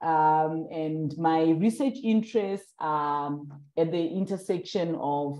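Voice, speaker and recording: Against a quiet background, a dark, mellow tone carries lively intonation at a very slow pace. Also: woman. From Zimbabwe. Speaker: interviewer, PhD student. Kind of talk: interview. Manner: hesitant, many fillers.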